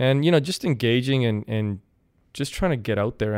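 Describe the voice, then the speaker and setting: A man with a Canadian accent talks at a very fast pace on a very clean recording with a silent background. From Canada, Kelowna, British Columbia. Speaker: city IT director. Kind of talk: interview.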